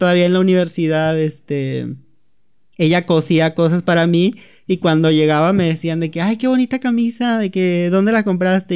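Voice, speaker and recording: The man has a high-pitched voice, ordinary pitch variation and a moderate pace. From Mexico, Tenosique, Tabasco. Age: 20s. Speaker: storyteller. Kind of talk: personal testimony.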